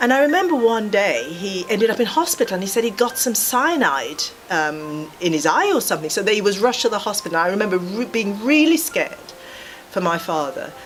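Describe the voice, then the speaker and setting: Music plays in the background. A woman speaks fairly quickly at a fairly high pitch, with very wide pitch swings. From rural Jamaica, then UK from age 11. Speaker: physiotherapy lecturer. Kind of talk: life story interview. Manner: reflective, some hesitations.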